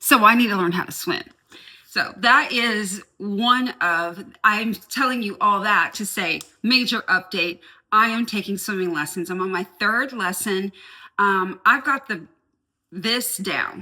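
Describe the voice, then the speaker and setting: Speaking at a fairly slow pace, a woman has a medium pitch with ordinary pitch variation and a bright, sharp, animated tone. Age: 50s. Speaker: lifestyle vlogger. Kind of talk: casual vlog talk to camera.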